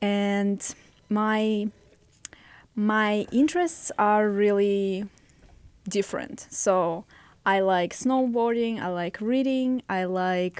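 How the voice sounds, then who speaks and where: A woman with a Russian accent speaks at a very slow pace, with long, frequent pauses. Her pitch variation is ordinary. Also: medium pitch for a woman. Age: 20s. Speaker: podcast guest, host's girlfriend. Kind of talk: casual podcast chat.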